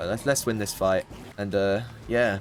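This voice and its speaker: A man with a British accent, fairly low pitch and fairly even intonation, with music in the background. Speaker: gaming YouTuber. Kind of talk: gameplay commentary, casual chat. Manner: rambling, casual with filler words.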